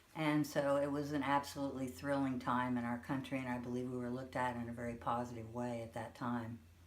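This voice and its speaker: A woman with an American accent and a very deep, low pitch, flat monotone intonation, a very fast pace with hardly any pauses, and audible room echo. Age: 60s. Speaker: grandmother being interviewed. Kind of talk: interview.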